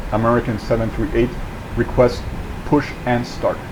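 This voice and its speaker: A man speaks at a medium pitch. There is noticeable background noise behind him. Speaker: flight sim streamer. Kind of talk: flight sim roleplay with commentary.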